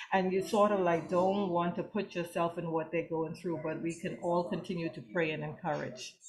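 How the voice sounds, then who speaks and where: Over noticeable background noise, a woman talks at a fairly low pitch and a moderate pace, with fairly even intonation and hardly any pauses. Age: 60s. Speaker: breast cancer survivor. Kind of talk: testimony. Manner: halting.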